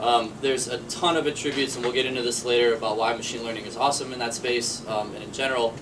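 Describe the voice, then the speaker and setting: A man's medium-pitched, monotone, flat voice at a very fast pace with hardly any pauses, with audible room echo and noticeable background noise. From Boston. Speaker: startup managing director. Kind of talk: panel discussion.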